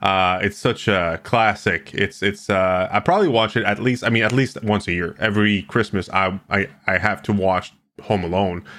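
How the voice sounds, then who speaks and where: A man's bright, sharp tone at a moderate pace, with fairly even intonation on a very clean recording with a silent background. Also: fairly low pitch for a man, hardly any pauses, very even loudness. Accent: French Canadian. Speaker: radio host and streaming company founder. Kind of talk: casual interview.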